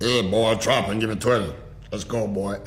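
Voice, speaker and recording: Against clear background noise, a man uses a put-on character voice at medium pitch. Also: moderate pace. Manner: gruff, barking.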